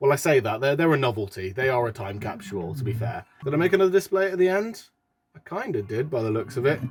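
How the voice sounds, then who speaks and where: A man with a British accent, very wide pitch swings and a very fast pace. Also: medium pitch for a man. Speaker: YouTuber. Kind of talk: reaction video commentary. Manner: casual, self-deprecating.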